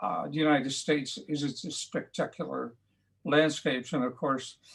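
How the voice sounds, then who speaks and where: On a very clean recording with a silent background, a man with a fairly high voice and vocal fry speaks with lively intonation. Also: moderate pace. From Netherlands. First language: Dutch. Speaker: painter. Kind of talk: interview. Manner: halting.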